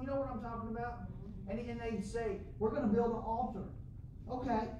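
With audible room echo and noticeable background noise, a man speaks at high pitch with ordinary pitch variation. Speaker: pastor. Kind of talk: sermon, fervent preaching with call-and-response to the congregation. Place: church.

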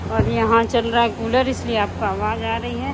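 A woman talks at a fairly slow pace. Loud background noise runs behind her. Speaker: home vlogger. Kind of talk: casual vlog chat. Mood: playful teasing. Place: home room. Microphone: phone near.

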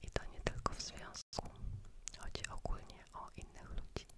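Noticeable background noise runs beneath a whispering woman. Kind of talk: ASMR Q&A. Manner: whispered.

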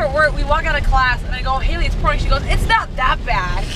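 The woman talks at a fairly quick pace. The sound is dry with no echo, and the background noise is loud. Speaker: vlogger. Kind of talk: casual vlog chat. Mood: playful, chatty. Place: car. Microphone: phone near.

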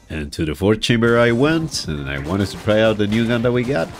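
Very wide pitch swings from a man at fairly low pitch, talking at a very fast pace over music in the background. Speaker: gaming YouTuber. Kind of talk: gameplay commentary voice-over.

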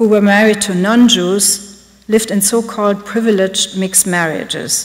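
A woman with a German accent, medium-pitched, fairly slow, and fairly even in intonation. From Germany. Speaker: art curator; lecturer. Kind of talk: lecture. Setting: stage with audience. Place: hall. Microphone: podium.

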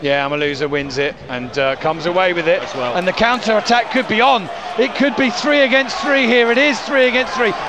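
A man is shouting in a raised, projected voice, high in pitch with very wide swings, at a fairly quick pace with hardly any pauses. Noticeable background noise accompanies a dry sound with no echo. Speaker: football match commentator. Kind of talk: live football commentary, rapid play-by-play of passes and chances. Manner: excitable, bursts into shouts of 'Goal!' and 'Yeah! Oh!' at key moments; quick-fire clipped phrases with frequent 'uh' fillers and self-corrections. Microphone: headset.

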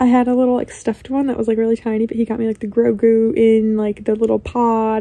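A woman's dark, mellow voice with fairly even intonation. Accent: American. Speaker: lifestyle vlogger. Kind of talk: casual chat.

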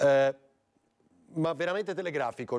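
With a quiet background, a man talks very fast using ordinary pitch variation. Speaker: TV talk show host. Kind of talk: live TV talk show. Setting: TV studio. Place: studio. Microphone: lapel.

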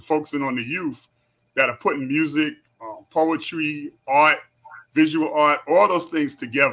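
Speaking at a moderate pace, a man with a New York accent talks in a fairly high pitch. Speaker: community activist. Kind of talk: interview. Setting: video call.

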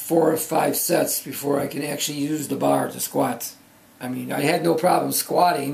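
The man's voice sits fairly high and stays monotone and flat. He keeps a moderate pace, and room echo is audible. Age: 70s. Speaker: powerlifter. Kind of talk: video log. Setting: home office. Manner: halting. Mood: earnest, recounting pain.

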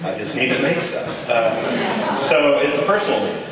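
A man's voice with strong room echo and light background noise. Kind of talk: informal talk to an audience. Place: hall.

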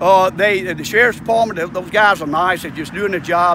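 With an American accent, a man talks in a high pitch and a fairly even intonation, his dry, echo-free sound set against noticeable background noise. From US South. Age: 70s. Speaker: citizen activist. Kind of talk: interview. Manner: halting. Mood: aggrieved, complaining. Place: street. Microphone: phone near.

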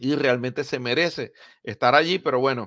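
Against a quiet background, a man's medium-pitched voice has ordinary pitch variation and a dry, close sound with no echo. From Venezuela, Maracaibo (Zulia). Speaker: baseball podcast host. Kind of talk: sports news commentary podcast. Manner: hesitant fillers (eh, pues).

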